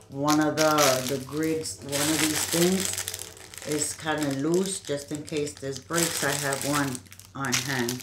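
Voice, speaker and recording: A woman speaks at a fairly slow pace with ordinary pitch variation against noticeable background noise. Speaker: unboxing vlogger. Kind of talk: casual vlog chat. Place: home room. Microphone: webcam.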